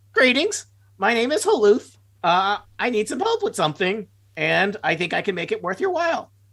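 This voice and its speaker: A female-sounding voice, fairly high in pitch, does a put-on character voice at a moderate pace. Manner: polite, scheming.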